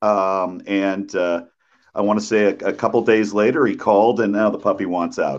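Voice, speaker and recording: The speech runs at a moderate pace with hardly any pauses and fairly even intonation, over a quiet background. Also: man, fairly low pitch for a man. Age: 50s. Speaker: TV news anchor and college mentor. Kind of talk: casual interview chat. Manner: halting, many fillers and repeats.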